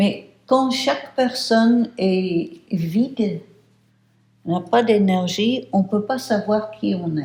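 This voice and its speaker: A woman's somewhat breathy, fairly high-pitched voice at a very slow pace. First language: English (speaking French). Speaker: meditation teacher. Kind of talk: lecture. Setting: retreat house. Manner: halting.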